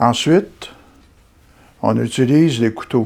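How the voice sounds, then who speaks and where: With a dark, mellow tone and medium pitch, a man speaks at a fairly slow pace with ordinary pitch variation on a very clean recording with a silent background. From Quebec, Gatineau (Hull sector). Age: 70s. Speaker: amateur sculptor. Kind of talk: interview and demonstration. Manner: hesitant, with frequent fillers.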